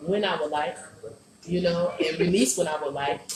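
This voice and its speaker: Ordinary pitch variation marks a woman's fairly low voice, heard with noticeable background noise and audible room echo. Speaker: poet and recording artist. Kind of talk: interview.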